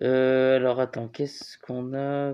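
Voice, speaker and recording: This is a man speaking. His pitch is medium. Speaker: YouTuber commentator. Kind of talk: commentary reading online comments. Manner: casual, hesitant with fillers.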